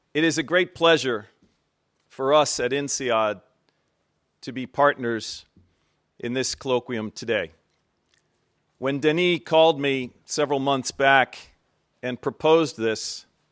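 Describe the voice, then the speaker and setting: Speaking with an American accent, a man with a fairly high pitch and ordinary pitch variation goes at a very slow pace with long, frequent pauses. The sound is dry and close with no echo, over a quiet background. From United States. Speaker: business school dean. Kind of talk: formal speech.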